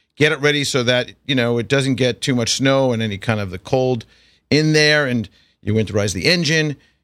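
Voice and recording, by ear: A man with an American accent speaks at a moderate pace and medium pitch, with ordinary pitch variation and a fairly bright tone. The recording is very clean, with a silent background.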